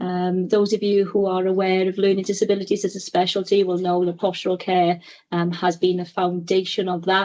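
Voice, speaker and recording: A woman at medium pitch with a Welsh accent, fairly quick, in a monotone, flat intonation. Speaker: clinical educator, webinar presenter. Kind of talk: webinar presentation.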